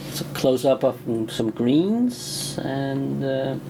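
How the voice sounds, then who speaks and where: Over noticeable background noise, a man speaks at medium pitch in a Danish accent. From Denmark. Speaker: chef. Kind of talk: video commentary. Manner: hesitant, many fillers.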